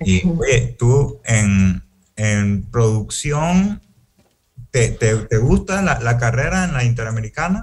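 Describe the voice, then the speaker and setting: A man speaks at a very slow pace, his medium pitch making very wide swings. His voice is somewhat breathy. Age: 20s. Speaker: university student. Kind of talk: student presentation.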